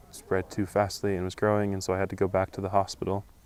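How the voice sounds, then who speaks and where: A man speaks at a fairly quick pace with an American accent. His fairly low voice stays monotone and flat. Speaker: returned missionary. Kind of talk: interview.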